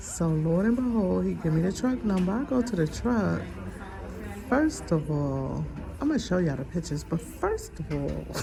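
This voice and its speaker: A woman speaks at a moderate pace with music in the background. Room echo is audible. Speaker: vlogger and truck driver. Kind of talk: casual vlog story time. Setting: urgent care waiting room. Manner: whispering.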